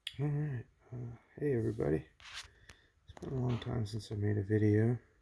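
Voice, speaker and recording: Soft-spoken and relaxed in tone, a man talks at a fairly quick pace in a medium pitch, with big swings in loudness. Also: ordinary pitch variation. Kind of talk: ASMR unboxing, casual talk to camera. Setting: near-mic home recording with crinkling package sounds. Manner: soft-spoken, relaxed.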